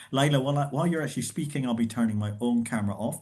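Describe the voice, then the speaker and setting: A man with a Scottish accent and ordinary pitch variation. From Scotland. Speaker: professor and event host. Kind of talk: host introduction. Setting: video call.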